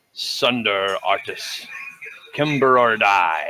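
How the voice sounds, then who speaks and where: A man's booming, put-on character voice, medium in pitch and very slow. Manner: commanding.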